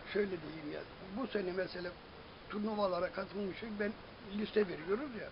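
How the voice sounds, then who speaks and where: Through noticeable background noise, a man with a high pitch and ordinary pitch variation speaks with long, frequent pauses. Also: moderate pace. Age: 70s. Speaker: amateur football club founder and coach; coach. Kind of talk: interview answer. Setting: outdoors. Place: garden. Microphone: phone near.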